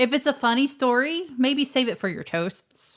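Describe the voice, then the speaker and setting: The speaker has a slight Texas accent and very wide pitch swings. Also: woman. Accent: slight Texas twang. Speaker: podcast co-host. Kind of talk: casual chat.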